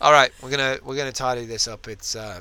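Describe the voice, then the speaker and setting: Speaking at a very fast pace, a man uses a medium pitch with a bright, sharp tone. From Ireland. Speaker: podcast co-host. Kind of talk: casual chat. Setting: in a van.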